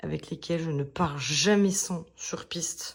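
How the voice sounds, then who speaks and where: Very slow in pace, a woman with a fairly low pitch talks with fairly even intonation. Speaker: motorcycle vlogger. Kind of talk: casual vlog. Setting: hotel room. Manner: hesitant, many fillers; whispering.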